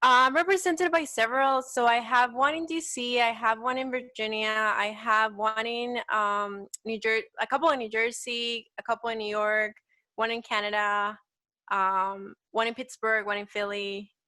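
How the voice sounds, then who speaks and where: A woman with a Salvadoran accent speaks in a bright, sharp tone, fairly high in pitch, at a moderate pace with ordinary pitch variation. The recording is very clean, with a silent background. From El Salvador. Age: 20s. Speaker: petite model. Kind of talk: casual interview.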